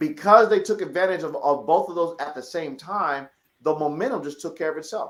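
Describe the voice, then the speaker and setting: A man with an American accent speaks at a fairly quick pace in a high, animated voice, his loudness swinging widely. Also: ordinary pitch variation. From San Francisco Bay Area, California. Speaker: financial educator. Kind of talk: podcast interview.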